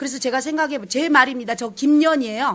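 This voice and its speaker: In an audible room echo, a woman speaks with a strong Jeolla accent. Her tone is animated. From South Jeolla, Sinan island. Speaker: pansori teacher. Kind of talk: lecture.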